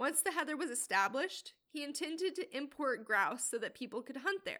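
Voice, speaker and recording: With a raised, projected voice, a woman talks at a fairly quick pace in a bright, sharp tone with lively intonation. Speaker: podcast host. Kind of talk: scripted narration.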